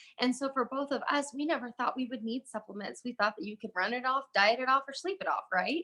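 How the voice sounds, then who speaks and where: With a raised, projected voice, a woman speaks at a very fast pace with hardly any pauses, her high pitch, bright, sharp tone, animated delivery and lively intonation all standing out. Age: 30s. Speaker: network marketing presenter. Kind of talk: sales pitch. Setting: live video stream. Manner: loud.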